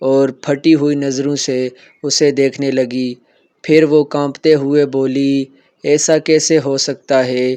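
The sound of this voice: Fairly even intonation in an unforced reading voice, the background quiet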